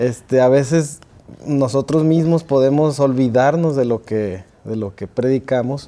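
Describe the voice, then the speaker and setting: Speaking at a fairly slow pace, a man uses ordinary pitch variation and a dark, mellow tone. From Mexico City. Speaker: music teacher. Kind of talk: panel discussion. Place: studio. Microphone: lapel.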